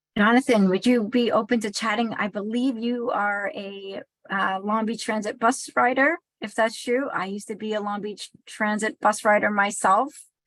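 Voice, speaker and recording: A woman with an American accent speaks at a fairly high pitch and a moderate pace. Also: fairly even intonation. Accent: New York accent, consciously toned down. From New York City. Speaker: associate dean, moderator. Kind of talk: panel moderation.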